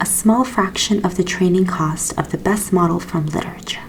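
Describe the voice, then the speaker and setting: A soft-spoken, gentle-toned voice at a moderate pace over noticeable background noise. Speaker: ASMR educator. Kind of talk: ASMR educational explanation of a research paper.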